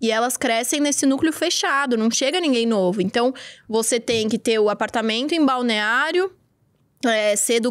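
Speaking in a São Paulo accent, a woman uses a high, lively voice at a moderate pace against a quiet background. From Brazil, São Paulo. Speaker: podcast host. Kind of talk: casual chat. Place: studio. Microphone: studio mic.

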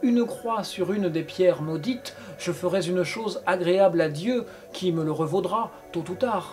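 Text read aloud, plainly.

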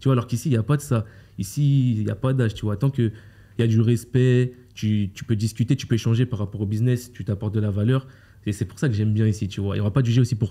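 A somewhat breathy man's voice, dark and mellow in tone, at a very fast pace. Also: medium pitch for a man, fairly even intonation, very clean recording, silent background. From France (Paris area). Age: 20s. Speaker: e-commerce coach. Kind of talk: interview. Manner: casual, slangy.

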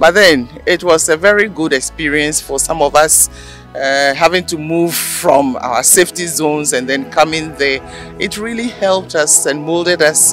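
A man at a moderate pace, ordinary pitch variation, a dry sound with no echo, and faint music in the background. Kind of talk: interview answer. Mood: warm, nostalgic. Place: street. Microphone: handheld.

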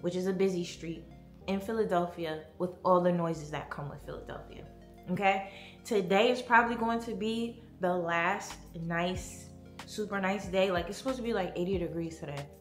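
Music runs in the background as a woman speaks at a moderate pace with audible room echo. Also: ordinary pitch variation. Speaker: home decor vlogger. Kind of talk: casual vlog chat. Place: home room. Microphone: phone near.

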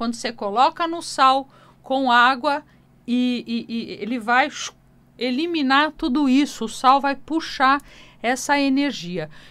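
A woman's high, bright, sharp voice at a very slow pace, with ordinary pitch variation and long, frequent pauses. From Brazil. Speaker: radio host and folk healer; radio host. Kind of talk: radio call-in show. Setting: radio studio. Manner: animated. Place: studio. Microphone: studio mic.

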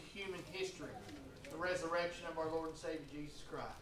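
A man at a moderate pace, fairly even intonation, noticeable background noise behind him. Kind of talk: church announcements to a congregation. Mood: warm, festive Easter greeting. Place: church.

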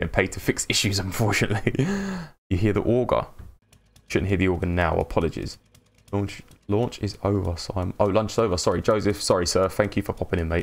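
A man with a London accent speaks very fast at a fairly low pitch. His intonation stays fairly even. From London, England. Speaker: video game live streamer. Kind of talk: live gameplay stream chat. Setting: live stream. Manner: monotone. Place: home room.

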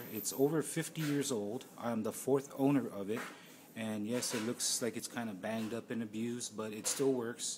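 A man talking at a fairly quick pace with fairly even intonation against noticeable background noise. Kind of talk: tutorial. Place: workshop. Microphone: phone near.

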